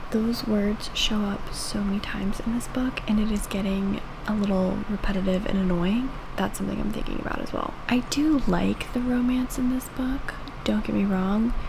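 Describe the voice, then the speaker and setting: Through audible room echo and noticeable background noise, a woman talks at medium pitch and a moderate pace with fairly even intonation. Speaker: book reviewer. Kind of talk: reading vlog. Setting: at home. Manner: casual, chatty.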